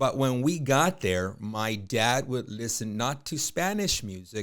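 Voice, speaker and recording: At a very slow pace, a man with a medium-pitched voice speaks with lively intonation. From Los Angeles area (East LA, Pico Rivera), born in Tijuana. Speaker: real estate businessman. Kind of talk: podcast interview.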